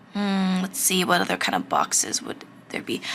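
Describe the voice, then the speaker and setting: The speech runs at a fairly quick pace, with noticeable background noise present. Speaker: art instructor. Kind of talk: tutorial. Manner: halting, self-correcting; casual.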